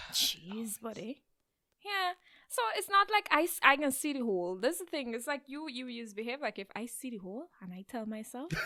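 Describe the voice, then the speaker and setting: In a Guyanese accent, a woman with a high, bright and sharp voice talks at a moderate pace, her pitch swinging very widely and her loudness rising and falling sharply, in a dry, close sound with no echo. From Guyana. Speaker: therapist. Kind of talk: casual podcast conversation.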